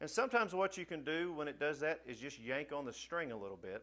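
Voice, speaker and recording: A man's fairly high voice with vocal fry, fairly quick in pace and very wide in pitch swings. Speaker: music teacher. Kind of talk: tutorial. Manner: fast; casual.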